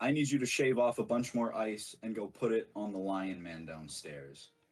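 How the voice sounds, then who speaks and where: Putting on a gruff character voice, a man at medium pitch talks at a moderate pace with lively intonation. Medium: actual play. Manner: curt, gruff.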